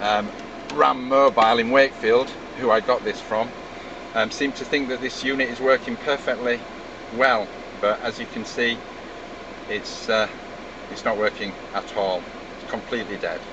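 The speech moves at a moderate pace with fairly even intonation and long, frequent pauses, in a dry sound with no echo over noticeable background noise. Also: man. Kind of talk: casual complaint demo. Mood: frustrated, resigned. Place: car. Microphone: phone near.

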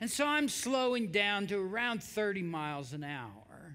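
A man speaks at a fairly slow pace in a raised, projected voice with a bright, sharp tone against a quiet background. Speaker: preacher. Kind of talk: sermon. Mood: dramatic personal story. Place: church.

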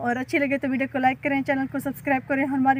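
A woman's high voice at a moderate pace, with a dry sound with no echo and light background noise. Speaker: village vlogger. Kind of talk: casual vlog chat. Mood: warm, relaxed. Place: farm. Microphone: phone near.

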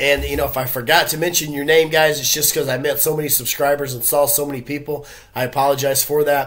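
A man talking at a fairly quick pace, monotone and flat in intonation. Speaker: vlogger giving nightlife updates. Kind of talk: casual vlog chat. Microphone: webcam.

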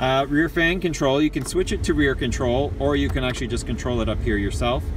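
Noticeable background noise accompanies a dry sound with no echo. In it, a man talks rather quickly. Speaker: channel host. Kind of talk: casual vehicle tour narration. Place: car. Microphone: phone near.

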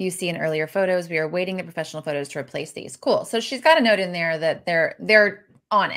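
A woman talks at a very fast pace with ordinary pitch variation. The background is quiet. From Tennessee. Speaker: interior designer; co-host reviewing listings. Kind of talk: casual video review show. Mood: warm, enthusiastic. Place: home room. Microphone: video call.

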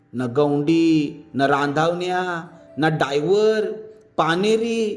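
This man speaks with lively intonation. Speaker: audiobook narrator. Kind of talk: folk story reading in rural dialect.

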